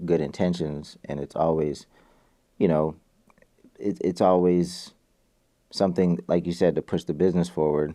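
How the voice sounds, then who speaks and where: Intonation stays monotone and flat in this dark, mellow tone. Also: man. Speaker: music entrepreneur, former label founder. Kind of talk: podcast interview.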